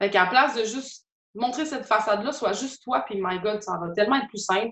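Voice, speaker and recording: A woman with a Quebec accent speaks at a fairly high pitch with ordinary pitch variation. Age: 20s. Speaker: artist and entrepreneur. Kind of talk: interview conversation.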